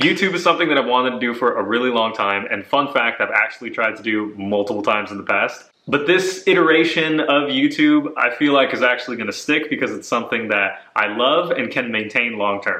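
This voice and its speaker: Lively intonation from a man at medium pitch, fairly quick and with hardly any pauses, against noticeable background noise. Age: 20s. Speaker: running vlogger. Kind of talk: casual vlog chat. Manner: chatty.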